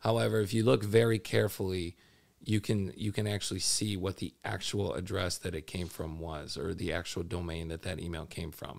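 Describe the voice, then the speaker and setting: This man's voice is very deep and low, with vocal fry. He talks at a fairly quick pace with ordinary pitch variation. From Minneapolis. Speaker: FBI cyber agent. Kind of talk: interview.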